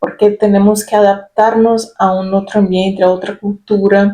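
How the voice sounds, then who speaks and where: Her voice has a dark, mellow tone, and this woman speaks at a medium pitch. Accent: Brazilian. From Brazil. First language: Portuguese (speaking Spanish). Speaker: spiritual self-help youtuber. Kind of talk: reflective personal talk. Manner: halting, with fillers.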